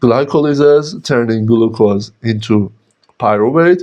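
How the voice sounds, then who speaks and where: A man with a non-native accent at a very slow pace. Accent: non-native English pronunciation. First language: Persian. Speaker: biochemistry teacher. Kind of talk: lecture. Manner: halting.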